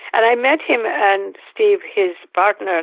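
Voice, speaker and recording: A woman with a Bengali accent. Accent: Bengali Indian English. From northeast India. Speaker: Jungian analyst and author. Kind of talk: interview. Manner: halting.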